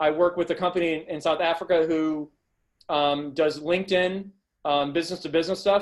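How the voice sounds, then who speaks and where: A man talks with a high pitch and fairly even intonation. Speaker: marketing agency owner, presenter. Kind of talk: webinar presentation. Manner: fast; halting, many repetitions.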